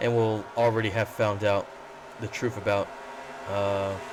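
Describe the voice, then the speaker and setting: A man speaks over noticeable background noise. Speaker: sim racing commentator. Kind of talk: race commentary. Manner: casual, joking.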